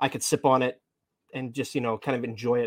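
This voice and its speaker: Dry and close with no echo, a man with an American accent speaks at a very fast pace and a medium pitch. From Massachusetts. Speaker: podcast co-host. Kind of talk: casual chat.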